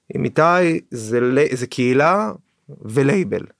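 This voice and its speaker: A normal speaking voice with lively intonation, recorded very cleanly against a silent background, with a dry, close sound and no echo. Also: man. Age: 30s. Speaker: trance music producer and record label co-owner. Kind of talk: casual interview chat. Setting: studio.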